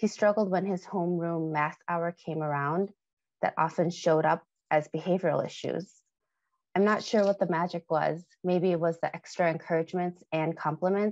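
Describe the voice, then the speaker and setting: With an American accent, a woman speaks at a moderate pace in a fairly low pitch, keeping her intonation fairly even, and the sound is dry with no echo. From US Midwest. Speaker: former tutor, health equity leader; former tutor. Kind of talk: legislative testimony. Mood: warm, earnest. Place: home room. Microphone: earbuds.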